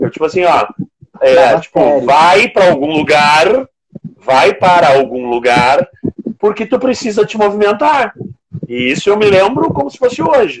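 A man with a high voice talks at a fairly slow pace with very wide pitch swings and long, frequent pauses. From Rio Grande do Sul, Brazil (Rio Grande). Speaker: physical education teacher and personal trainer. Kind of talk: casual interview.

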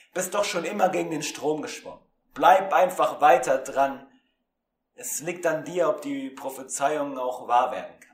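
A man with a normal speaking voice talks at a fairly slow pace and fairly high pitch. His pitch variation is ordinary, while his loudness swings widely. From Germany. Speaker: student radio presenter. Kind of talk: spoken word poetry reading; casual chat. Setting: remote recording, not in studio.

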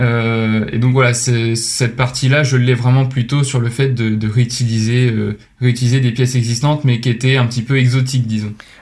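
A man's somewhat breathy voice at medium pitch, monotone and flat, at a moderate pace with very even loudness. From Normandy, France (Rouen). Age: 20s. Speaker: business school student and startup founder. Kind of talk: podcast interview. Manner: hesitant, frequent repetitions and fillers.

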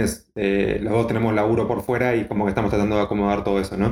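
A man's fairly low, monotone, flat delivery in an Argentine accent. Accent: Argentine Spanish (Rioplatense). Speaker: biotechnologist and nutrition coach. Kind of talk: casual chat.

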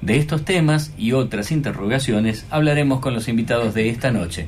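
Audible room echo surrounds this man's voice. He talks at a moderate pace with a medium pitch. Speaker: radio host. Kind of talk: scripted narration; radio interview. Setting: radio studio.

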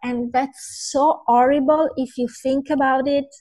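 A woman speaks very slowly in an Italian accent. Her pitch is high, with ordinary pitch variation. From Italy. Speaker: vegan influencer and food writer. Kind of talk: interview. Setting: video call.

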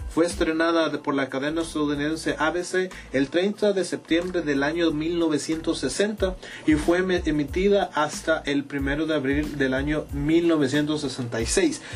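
Over noticeable background noise, a man talks at a very slow pace in a fairly high pitch with fairly even intonation. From El Salvador. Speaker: podcast host. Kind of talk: casual chat.

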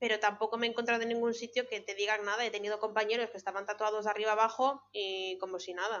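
A woman's fairly high, flat monotone voice in a Galician accent. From Galicia, Spain (born abroad). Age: 30s. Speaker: veterinarian. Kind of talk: casual chat.

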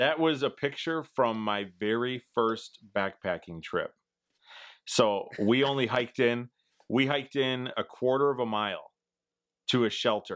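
A man speaks with a Midwestern US accent. His pitch is medium and varies in an ordinary way. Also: fairly slow pace. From Wisconsin, US Midwest. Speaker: outdoors YouTuber. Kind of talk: casual interview chat. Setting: home, remote recording.

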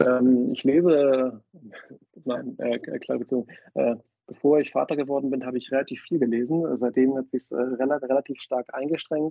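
Medium-pitched male speech, monotone and flat. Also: moderate pace. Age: 30s. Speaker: fintech business developer and angel investor. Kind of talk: casual interview. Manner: halting, many fillers and repetitions.

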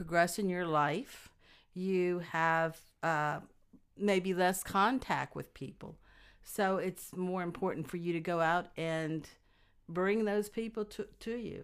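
A woman with a Louisiana accent speaks at a very slow pace and a medium pitch, her pitch varying in an ordinary way, on a very clean recording with a silent background. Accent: US South (Louisiana). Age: 60s. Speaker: guest, host's mother. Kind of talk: casual chat.

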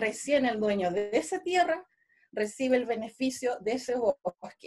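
A woman speaks in a high pitch with lively intonation. Her pace is very slow. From Chile, Araucanía (Nueva Imperial). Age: 30s. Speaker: Mapuche traditional educator. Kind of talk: radio interview.

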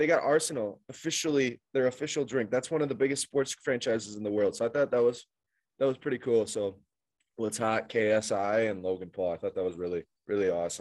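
A man with a plain, everyday voice, fairly quick in pace and lively in intonation. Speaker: podcast co-host. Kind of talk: casual banter podcast. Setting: remote video call, spotty connection.

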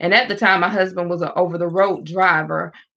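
With a South Carolina accent, a woman talks at a fairly quick pace in a fairly low pitch. Her tone is bright and sharp, with vocal fry. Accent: Southern US (South Carolina). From US South. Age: 40s. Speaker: evangelist. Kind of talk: testimony. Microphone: echo on the line.

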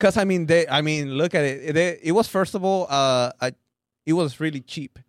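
A man with a Mexican accent speaks at a fairly high pitch, his sound dry and close with no echo. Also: moderate pace. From Mexico. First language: Spanish. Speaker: stand-up comedian. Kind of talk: casual chat. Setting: studio. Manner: deadpan.

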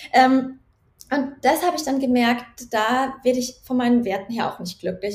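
A woman's high-pitched voice. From Germany, Nuremberg area. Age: 30s. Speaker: doctoral researcher and founder. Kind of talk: interview. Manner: hesitant, many fillers.

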